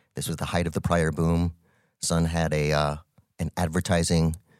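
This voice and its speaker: An American accent at a fairly quick pace, in a very clean recording with a silent background. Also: man. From New Mexico, US. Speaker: tech entrepreneur, podcast co-host. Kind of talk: casual chat.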